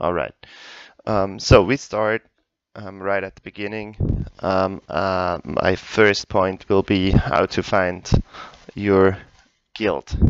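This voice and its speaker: At a very slow pace with long, frequent pauses, this voice has a non-native accent and fairly even intonation, with a dry, close sound and no echo. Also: man, fairly low pitch for a man. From Europe, not UK. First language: not English. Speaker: gaming tutorial youtuber. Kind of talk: tutorial. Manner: hesitant, many fillers.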